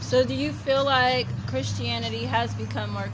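A woman speaks at a moderate pace in a very deep, low pitch. Her intonation is monotone and flat, with noticeable background noise behind her. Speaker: podcast host. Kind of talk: interview conversation.

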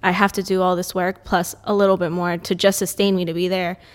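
On a very clean recording with a silent background, a woman speaks at medium pitch, very fast and in a monotone, flat way. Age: 30s. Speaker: gym owner and fitness coach. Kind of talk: casual chat.

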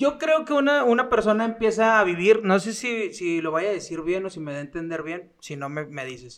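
High-pitched man's voice with very wide pitch swings, big swings in loudness, a moderate pace and hardly any pauses. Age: 20s. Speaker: podcast host. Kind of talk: casual interview.

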